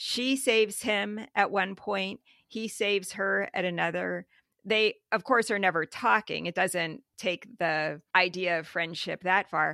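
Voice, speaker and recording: A woman with an American accent speaks at a medium pitch in a bright, sharp tone with vocal fry, ordinary pitch variation, and a moderate pace, the sound dry and close with no echo against a quiet background. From US Midwest, small town. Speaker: book podcast co-host and playwright. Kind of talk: casual chat.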